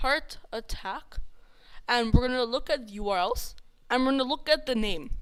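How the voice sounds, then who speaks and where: Her voice high and her intonation lively, a woman talks at a fairly quick pace. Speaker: coding livestreamer. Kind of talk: live coding tutorial. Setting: live stream. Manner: halting, stumbling over words.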